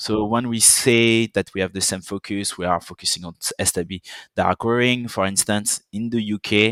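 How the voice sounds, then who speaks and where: A man speaks at a fairly low pitch in a monotone, flat intonation. The recording is very clean with a silent background, and the sound is dry and close with no echo. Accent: slight French. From French Caribbean island (Guadeloupe). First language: French. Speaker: software company account manager. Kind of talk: podcast interview. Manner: halting, many fillers.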